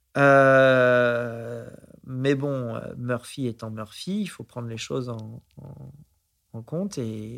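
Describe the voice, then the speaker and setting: At a very slow pace, a man talks with medium pitch and ordinary pitch variation. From France, Aix-en-Provence area. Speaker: investor. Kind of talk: interview. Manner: halting.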